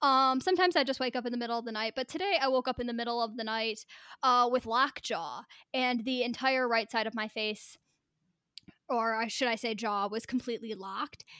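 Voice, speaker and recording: A loud woman's voice, high-pitched with a bright, sharp tone, at a fairly quick pace. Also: ordinary pitch variation. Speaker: podcast co-host. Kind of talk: casual chat.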